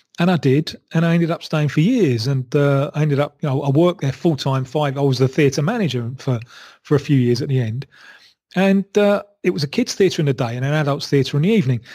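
A man speaks at a fairly quick pace in a fairly high pitch, somewhat breathy, with a dark, mellow tone and ordinary pitch variation. The recording is very clean, with a silent background. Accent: London. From London. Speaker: football journalist. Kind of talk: interview answer. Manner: engaging.

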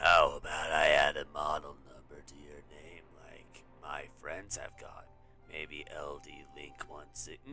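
A man speaks at a fairly slow pace in a put-on character voice, with music playing in the background. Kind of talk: reading game dialogue aloud.

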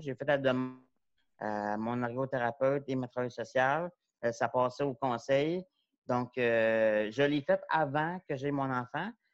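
A man talks at a fairly slow pace with ordinary pitch variation, his voice dry with no echo against a quiet background. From Quebec. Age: 40s. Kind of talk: panel talk. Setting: video call. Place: home room. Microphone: earbuds.

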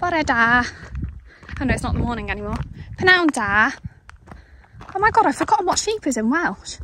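Her voice raised and projected, a woman talks at a fairly quick pace in a high pitch with very wide swings, leaving long, frequent pauses over noticeable background noise. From North Wales. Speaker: vlogger. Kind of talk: casual vlog monologue. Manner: chatty, animated.

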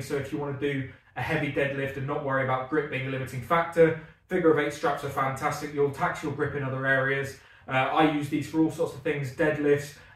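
Audible room echo surrounds a man talking at a fairly quick pace in a monotone, flat intonation. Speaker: strongman athlete vlogger. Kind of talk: gear review vlog chat. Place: gym.

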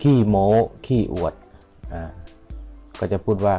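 Music in the background behind a man with a fairly low pitch. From Buriram Province, Thailand. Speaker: language teacher. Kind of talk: language lesson.

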